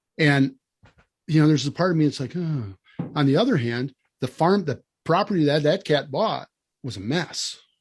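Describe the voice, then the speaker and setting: With a Wisconsin accent, a man speaks at a fairly quick pace in a fairly high, somewhat breathy voice with lively intonation. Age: 60s. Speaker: land management consultant. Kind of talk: podcast interview.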